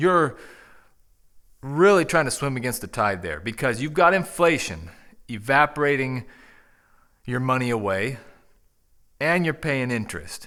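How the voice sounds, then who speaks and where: A man's medium-pitched voice with a bright, sharp tone, very wide pitch swings, and long, frequent pauses. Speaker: YouTube channel host. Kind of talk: casual talk to camera. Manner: slow; conversational.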